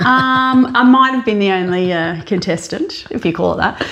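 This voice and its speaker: A woman's animated tone in an Australian accent amid noticeable background noise. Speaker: podcast co-host. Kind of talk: casual chat. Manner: loud.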